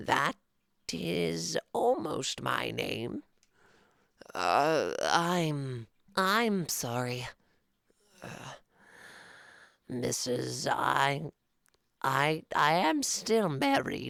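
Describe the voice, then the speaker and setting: In a put-on character voice of low-to-middle pitch, the speaker goes very slowly, with long, frequent pauses. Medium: read story.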